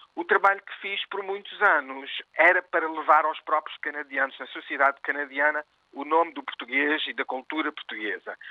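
An unremarkable speaking voice from a man, fairly high in pitch, at a moderate pace, with fairly even intonation and big swings in loudness. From Oakville, Ontario, Canada, of Portuguese parents. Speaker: arts organizer. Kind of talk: interview.

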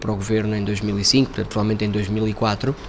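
Noticeable background noise fills the recording. Over it, a man talks at a very fast pace. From Portugal, Montijo. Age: 40s. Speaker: politician, European Parliament candidate. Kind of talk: interview.

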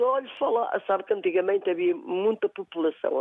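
A woman with a plain, everyday voice, at a moderate pace. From Portugal, Castro Daire (Viseu district). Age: 50s. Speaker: shop owner and regional sweets baker. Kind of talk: casual chat.

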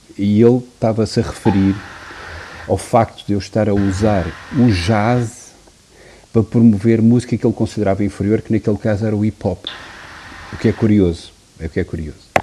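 A man talks at a fairly quick pace yet with long, frequent pauses, his fairly low pitch held in fairly even intonation. Noticeable background noise runs underneath. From Portugal, Porto. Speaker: music producer and DJ. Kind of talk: interview. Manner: halting.

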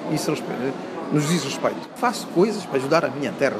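With lively intonation, a fairly high-pitched man talks very fast. There is audible room echo and noticeable background noise. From Guinea-Bissau, Bissau. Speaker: environmental engineer. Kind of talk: interview.

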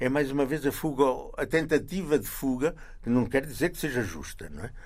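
A man is speaking. His pace is moderate. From central Portugal, near Coimbra. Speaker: journalist and travel writer. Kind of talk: interview. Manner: halting, with many repetitions.

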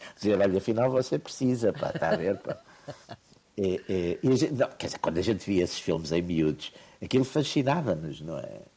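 A man's fairly low voice, dark and mellow in tone, at a fairly quick pace with very wide pitch swings. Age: old. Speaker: political commentator. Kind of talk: casual chat.

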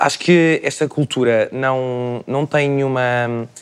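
In a very clean recording with a silent background, a man with a normal speaking voice talks at medium pitch with fairly even intonation. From Portugal, Lisbon area. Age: 20s. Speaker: communication sciences student. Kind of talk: panel discussion.

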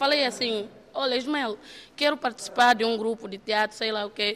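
Lively, high-voiced female speech delivered at an even, moderate tempo. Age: 20s. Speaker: theatre trainee, model and dancer. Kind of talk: interview. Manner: animated.

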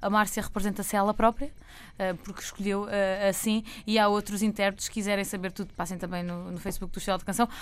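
A woman with a European Portuguese accent speaks very fast at a medium pitch in a flat monotone. The recording is very clean, with a silent background. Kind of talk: radio segment, casual chat.

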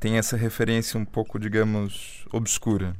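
Recorded very cleanly against a silent background, a man with a normal speaking voice talks at a medium pitch and a moderate pace. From Brazil. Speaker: radio host. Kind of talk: interview. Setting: studio.

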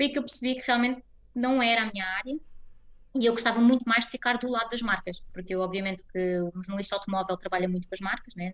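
Speaking at a very fast pace, a woman uses a fairly high voice with ordinary pitch variation. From Portugal, Almada. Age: 20s. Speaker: Portuguese expatriate interviewee. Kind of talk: interview.

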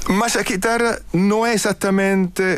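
A man is speaking. He has an Italian accent. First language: Italian (speaking Portuguese). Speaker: artistic director of an early music ensemble. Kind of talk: radio interview. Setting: radio studio. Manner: halting.

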